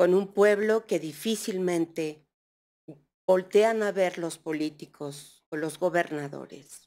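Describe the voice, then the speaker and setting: A woman's fairly low voice at a very slow pace with ordinary pitch variation. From Mixteca Alta, Oaxaca, Mexico; Oaxaca, Mexico. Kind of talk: heartfelt speech. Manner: colloquial. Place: hall. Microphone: podium.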